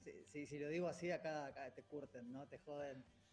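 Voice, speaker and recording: A man at a moderate pace, fairly high in pitch, with fairly even intonation. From Rosario, Argentina. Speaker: real estate executive. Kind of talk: radio interview.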